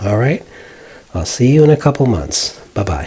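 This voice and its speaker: A man with an American accent speaks with ordinary pitch variation. Noticeable background noise sits behind him. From Arizona, US (Phoenix). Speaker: hobbyist video maker. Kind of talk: casual tutorial vlog. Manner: hesitant with fillers.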